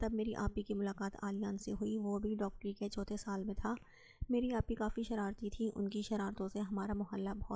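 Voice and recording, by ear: A natural voice reads the text aloud, keeping the intonation fairly even.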